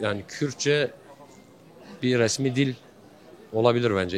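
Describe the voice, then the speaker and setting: A man's medium-pitched voice with a Kurdish accent and ordinary pitch variation. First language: Kurdish (speaking Turkish). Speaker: street interviewee. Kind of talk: street interview. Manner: hesitant, many fillers.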